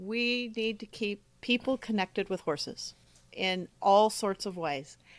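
On a very clean recording with a silent background, a woman speaks very slowly in a fairly high voice with lively intonation. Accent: American. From California. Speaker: horse show manager and judge. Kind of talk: interview.

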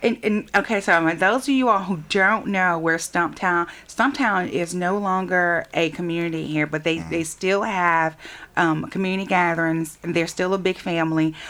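A woman with a fairly low pitch talks with an American accent at a moderate pace, with hardly any pauses and ordinary pitch variation. It is an ordinary speaking voice on a very clean recording with a silent background. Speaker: radio host. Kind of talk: radio interview.

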